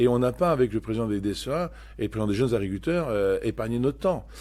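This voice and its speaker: A man's voice sits fairly low in pitch, dark and mellow in tone, with lively intonation. The recording is very clean, with a silent background. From Normandy, France (Cotentin, Manche). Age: 60s. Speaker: dairy farmer and farm union leader. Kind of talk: podcast testimony. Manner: hesitant, many fillers and repetitions.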